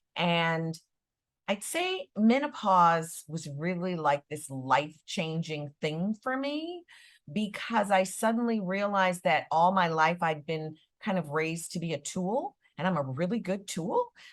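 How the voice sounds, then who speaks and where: On a very clean recording with a silent background, a woman with an American accent uses an ordinary speaking voice, talking fairly slowly at a fairly low pitch with lively intonation. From US Midwest, Chicago. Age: 60s. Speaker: actress and author. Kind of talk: panel interview. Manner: casual, conversational.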